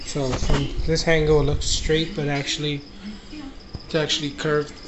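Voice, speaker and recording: Clear background noise surrounds the speech. A man talks at a medium tempo. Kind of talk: casual vlog chat. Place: home room. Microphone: phone near.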